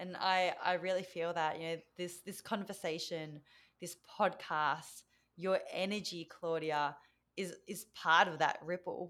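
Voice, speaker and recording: In an Australian accent, a woman speaks fairly slowly at a fairly low pitch with monotone, flat intonation. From Australia (Victoria), Vietnamese parents. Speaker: mentor and speaker, former physiotherapist. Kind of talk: podcast interview. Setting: remote call.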